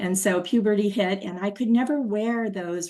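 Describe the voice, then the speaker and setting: A woman speaks at a moderate speed while noticeable noise carries on behind her. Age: 60s. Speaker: patient sharing her story. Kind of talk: personal testimony. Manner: halting.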